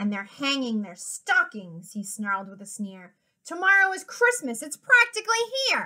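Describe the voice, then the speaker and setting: Putting on a character voice, a woman growls at a high pitch and a moderate pace, with very wide pitch swings and big swings in loudness. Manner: snarling, sneering.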